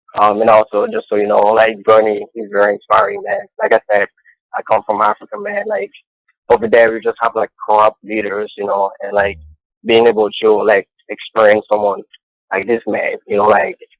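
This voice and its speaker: A man with a Cameroonian accent at a moderate pace, in a dry, close sound with no echo. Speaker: caller. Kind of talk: phone-in call to live show. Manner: enthusiastic.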